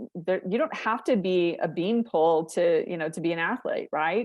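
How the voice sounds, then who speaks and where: At a moderate pace, a woman with a medium pitch has an unremarkable speaking voice. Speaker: company founder presenting research. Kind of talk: conference Q&A. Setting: video call.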